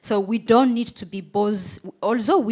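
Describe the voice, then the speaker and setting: This woman speaks with a non-native accent. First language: not English. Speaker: AI auditor on panel. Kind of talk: live panel discussion.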